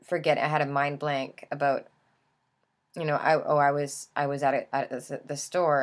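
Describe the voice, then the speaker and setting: A woman with a very deep, low pitch is heard on a very clean recording with a silent background. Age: 20s. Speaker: vlogger. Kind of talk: casual monologue. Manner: halting, many fillers; youthful, teenage-like speech.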